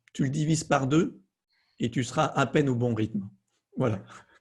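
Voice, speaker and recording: A man talks at a fairly slow pace and a fairly high pitch. His voice is somewhat breathy. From southern France. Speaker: fear-release coach. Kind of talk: conversational interview.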